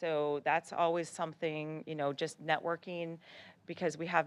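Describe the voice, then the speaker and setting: A woman with a plain, everyday voice talks at a moderate pace and fairly low pitch over a quiet background. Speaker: school district administrator. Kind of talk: board meeting presentation.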